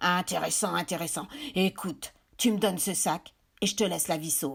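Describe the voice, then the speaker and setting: Using a put-on character voice, a woman sounds gruff at a medium pitch and a moderate pace. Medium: read story. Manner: menacing.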